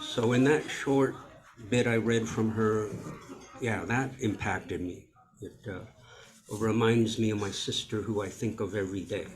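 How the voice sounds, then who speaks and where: A man with an American accent at a moderate pace, fairly even in intonation, with long, frequent pauses, noticeable background noise and audible room echo. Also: medium pitch for a man. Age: 60s. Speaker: author and writing workshop presenter. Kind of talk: workshop talk.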